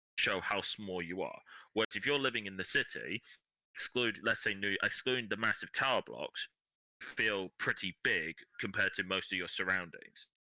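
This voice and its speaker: Heard in a dry, close sound with no echo, a man with an English accent speaks at a moderate pace. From England. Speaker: podcast guest. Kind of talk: casual chat.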